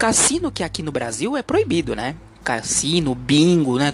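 A man's fairly high voice at a moderate pace, against noticeable background noise. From Brazil, Santos (São Paulo coast). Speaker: podcast host. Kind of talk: opinion monologue. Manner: halting, many fillers; animated.

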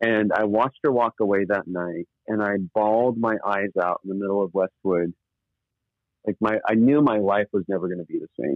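With an American accent, a man talks in a normal speaking voice at a fairly low pitch, moderate pace and ordinary pitch variation. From US Southwest (northern New Mexico). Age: 40s. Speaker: nonprofit leader. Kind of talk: interview.

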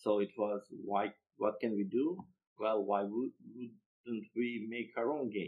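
Speaking fairly slowly in a Serbian accent, a man uses a fairly low pitch with ordinary pitch variation. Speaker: board game designer. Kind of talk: interview.

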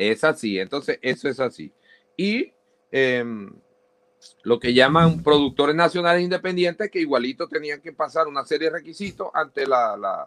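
A man with a fairly high voice speaks with lively intonation. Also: moderate pace. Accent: Maracaibo. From Maracaibo, Venezuela (Zulia). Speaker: radio presenter. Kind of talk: casual interview.

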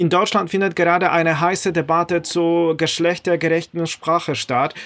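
Someone with a Polish accent speaks at a moderate pace. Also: man. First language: Polish (speaking German). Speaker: podcast host. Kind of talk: interview.

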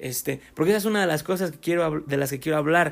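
The man speaks with a Mexican accent at a high pitch. His pitch variation is ordinary. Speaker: podcaster. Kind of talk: casual monologue. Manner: halting.

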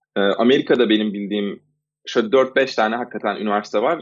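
A man holds a medium pitch while speaking at a fairly quick pace. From Istanbul, Turkey. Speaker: freelance designer. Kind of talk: interview. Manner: halting.

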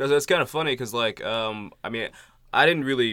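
An ordinary speaking voice from a man, with ordinary pitch variation at a fairly quick pace. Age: 20s. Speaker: podcast host. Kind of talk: casual chat.

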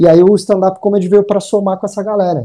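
This man talks at a very fast pace. His tone is dark and mellow. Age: 30s. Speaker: stand-up comedian. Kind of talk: casual chat.

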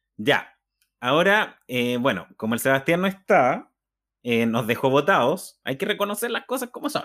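Using very wide pitch swings, a man with a Chilean accent speaks at a moderate pace and a fairly high pitch. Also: very clean recording, silent background. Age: 30s. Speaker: podcast host. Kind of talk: casual chat.

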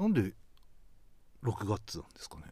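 Vocal fry at a fairly quick pace. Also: man. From Hokkaido, Ishikari. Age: 40s. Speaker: broadcast writer. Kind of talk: casual chat.

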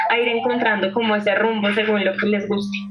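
Over background music and audible room echo, a woman speaks in a fairly high pitch with monotone, flat intonation. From Colombia, Bogotá. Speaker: university student and radio presenter. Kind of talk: casual interview.

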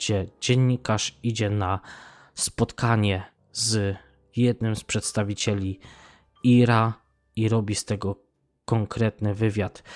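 Dry and close with no echo, in a very clean recording with a silent background, a man speaks very slowly in a fairly low, flat monotone. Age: 30s. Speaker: podcaster. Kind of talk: casual monologue.

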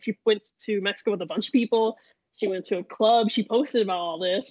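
The woman's pitch is fairly high, with ordinary variation. She talks at a very fast pace. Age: 20s. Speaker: podcast co-host. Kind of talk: casual chat.

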